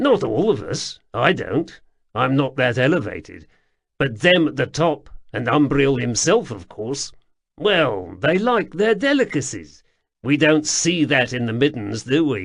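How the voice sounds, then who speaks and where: Against a quiet background, a man uses a put-on character voice at a fairly high pitch and a moderate pace. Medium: read story. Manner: offhand, diffident.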